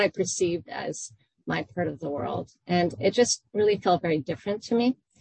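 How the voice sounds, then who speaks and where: Fairly low in pitch, a woman's voice carries vocal fry. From Iran. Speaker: professor and author. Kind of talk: academic book talk. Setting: online video event. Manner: formal.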